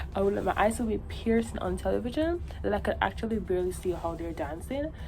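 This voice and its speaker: Her speech races along very quickly. She is heard through noticeable background noise and an audible echo from the room. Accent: Jamaican. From Jamaica. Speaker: vlogger. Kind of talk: casual chat. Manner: animated.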